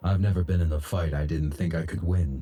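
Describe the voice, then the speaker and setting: A man puts on a character voice with a very deep, low pitch. He speaks at a fairly quick pace. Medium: video game. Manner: terse, clipped.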